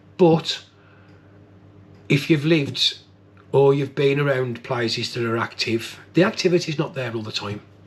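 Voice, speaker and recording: Amid noticeable background noise, a man speaks at a moderate pace and medium pitch with ordinary pitch variation. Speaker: paranormal investigator. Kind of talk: vlog reflection to camera. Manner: soft-spoken.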